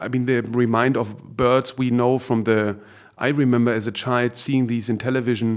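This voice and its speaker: Speaking in a German accent, a man keeps a medium pitch, a monotone, flat intonation and very even loudness at a moderate pace. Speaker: podcast host, art gallerist. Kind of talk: interview.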